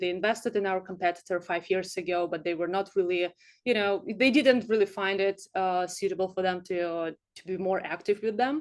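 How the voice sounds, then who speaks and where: A woman with a Russian accent talks at a fairly quick pace. Her pitch is medium, and the background is quiet. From Siberia, Russia. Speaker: startup founder. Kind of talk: presentation. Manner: hesitant, many fillers.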